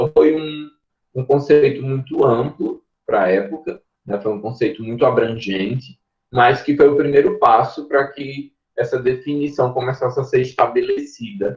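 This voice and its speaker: Here a man with a Pernambuco accent speaks at a fairly high pitch and a moderate pace. His voice is somewhat breathy, with ordinary pitch variation. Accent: Pernambuco accent, noticeable. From Pernambuco, Brazil. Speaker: university professor, mycologist. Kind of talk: online lecture.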